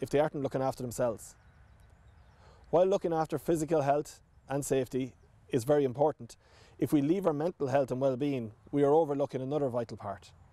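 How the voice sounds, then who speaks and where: Speaking at a very fast pace, a man has a dark, mellow tone and ordinary pitch variation. The sound is dry with no echo. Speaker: government minister. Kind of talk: formal address to camera. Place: open country. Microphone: lapel.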